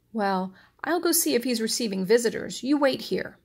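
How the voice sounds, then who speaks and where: Using a put-on character voice, a woman speaks at a moderate pace. Her pitch is fairly high and her intonation lively. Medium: read story. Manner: suspicious.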